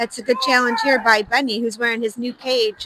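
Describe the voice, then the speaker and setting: A woman talks at a very fast pace and a fairly high pitch, in a dry, close sound with no echo, with noticeable background noise. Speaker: youth hockey game commentator. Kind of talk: live commentary. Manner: animated.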